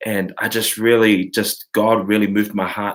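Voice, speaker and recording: In a New Zealand accent, a man speaks at a medium pitch. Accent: New Zealand (Kiwi). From New Zealand, Samoan community. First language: Samoan. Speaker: worship leader and class host. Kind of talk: online live class, casual talk. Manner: halting, many fillers.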